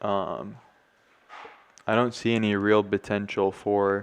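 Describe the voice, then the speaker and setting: A man speaks in a fairly low voice. His intonation stays monotone and flat. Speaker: crypto trading streamer. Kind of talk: live chart analysis. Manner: casual with fillers.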